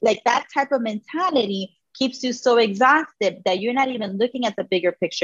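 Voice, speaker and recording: Here a woman talks at a very fast pace with a fairly high pitch. Her intonation is lively. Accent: American. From Hialeah, Florida (Miami area), Cuban American. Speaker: career coach. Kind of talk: casual chat. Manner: animated.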